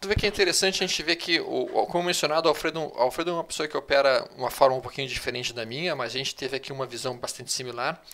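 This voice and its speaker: A man talks very fast with hardly any pauses, his fairly high voice bright and sharp in tone, with ordinary pitch variation. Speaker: trading analyst and educator; trading analyst, educator. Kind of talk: live market analysis webinar. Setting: live online video broadcast. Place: home room. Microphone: headset.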